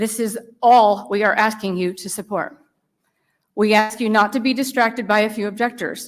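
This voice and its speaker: With an American accent, a woman talks in a normal speaking voice at a fairly high pitch, with fairly even intonation and a moderate pace. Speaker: citizen volunteer giving legislative testimony. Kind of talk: testimony before a legislative committee.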